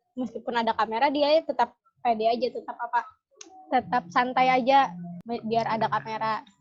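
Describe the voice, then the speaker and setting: This woman's high-pitched voice moves along at a fairly quick speed with ordinary pitch variation. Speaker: podcast co-host. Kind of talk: casual chat. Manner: halting, not very fluent.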